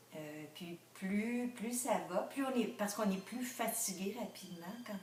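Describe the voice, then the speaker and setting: Speaking very slowly, a woman's words bounce with clear room echo. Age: 60s. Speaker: retiree. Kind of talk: interview. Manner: hesitant, many fillers.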